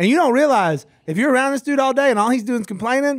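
A man with an extremely high pitch and lively intonation at a fast pace, on a very clean recording with a silent background

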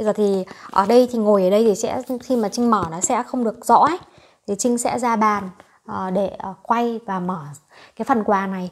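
Her pitch fairly high and its variation ordinary, a woman speaks at a moderate pace with long, frequent pauses. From Vietnam. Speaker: YouTube vlogger; vlogger. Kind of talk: casual vlog talk to viewers. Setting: home, sitting on sofa. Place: home room. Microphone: lapel.

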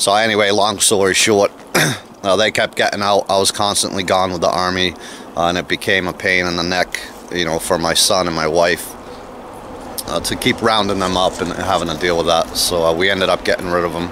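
A man's very deep, low voice at a fairly quick pace, monotone and flat, over light background noise. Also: dry sound with no echo. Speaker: homesteader vlogger. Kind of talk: casual vlog chat. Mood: relaxed, amused. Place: open country. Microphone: phone near.

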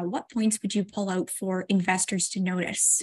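A woman speaks at a moderate pace, her voice somewhat breathy. The background is quiet. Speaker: interviewer for a finance news channel. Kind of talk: interview. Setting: video call. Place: home room. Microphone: earbuds.

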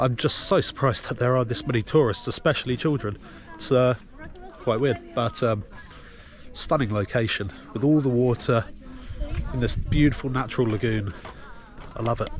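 A man at a moderate pace, with ordinary pitch variation, long and frequent pauses, dry sound with no echo, and light background noise. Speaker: travel vlogger. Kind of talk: casual vlog chat. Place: waterside. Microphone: phone near.

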